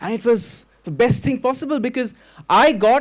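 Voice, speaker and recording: In a very clean recording with a silent background, a man with a Bengali accent talks at a moderate pace. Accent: Bengali Indian English. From Kolkata, India (Bengali). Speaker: storyteller. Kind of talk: stage storytelling. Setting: stage with audience.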